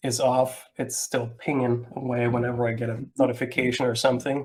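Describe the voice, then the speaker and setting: Fairly even intonation and a moderate pace from a man pitched in the medium range. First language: not English. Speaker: software webinar presenter. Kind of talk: live webinar presentation. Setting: live online webinar. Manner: hesitant, many fillers.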